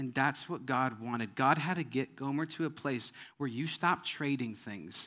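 A man with an American accent has a bright, sharp tone and ordinary pitch variation. The recording is very clean, with a silent background. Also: medium pitch for a man, moderate pace. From Wisconsin. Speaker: pastor. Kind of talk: sermon. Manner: animated.

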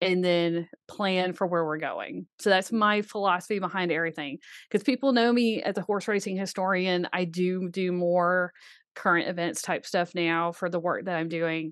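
The woman has a normal speaking voice, medium in pitch, with an American accent. She talks at a moderate pace against a quiet background. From US South, Birmingham, Alabama. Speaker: author and horse racing writer. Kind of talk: casual interview.

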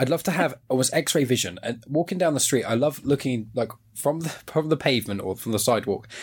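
In a southern English accent, a somewhat breathy man talks at a fairly quick pace with lively intonation and hardly any pauses. The recording is very clean, with a silent background. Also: medium pitch for a man. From southern England. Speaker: podcast host. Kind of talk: casual chat. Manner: talkative, rambling.

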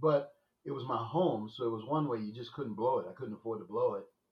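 A man with an American accent speaks at a moderate pace in a somewhat breathy voice. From New Orleans, lower ninth ward. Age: 60s. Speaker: business owner, former corporate executive. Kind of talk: interview. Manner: hesitant, with fillers.

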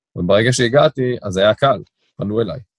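A man talks with ordinary pitch variation. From Israel, Tel Aviv (Ramat Aviv). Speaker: corporate lawyer. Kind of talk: interview. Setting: remote call. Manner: fluent talker.

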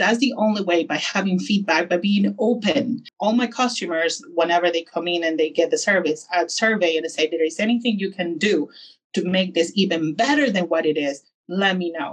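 The speaker has a Spanish accent. The pitch varies in an ordinary way. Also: woman. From Peru. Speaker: barbershop owner. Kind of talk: interview.

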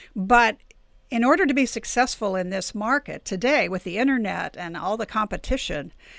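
A plain, everyday voice from a woman, fairly high in pitch, on a very clean recording with a silent background. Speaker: podcast host and publisher. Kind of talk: interview.

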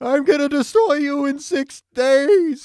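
Delivered at a fairly slow pace, the put-on character voice comes out shaky. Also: man, extremely high pitch for a man. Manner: threatening.

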